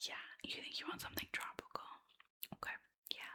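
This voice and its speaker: A woman is speaking. She whispers. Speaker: ASMR creator playing a travel agent. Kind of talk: ASMR roleplay, friendly conversational talk to a customer. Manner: warm, friendly, chatty.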